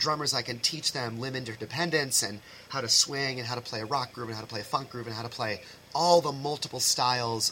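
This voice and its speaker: A man with an American accent and a medium pitch, at a fairly quick pace with ordinary pitch variation, over noticeable background noise. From Massachusetts, US. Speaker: high school band director. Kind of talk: casual interview chat.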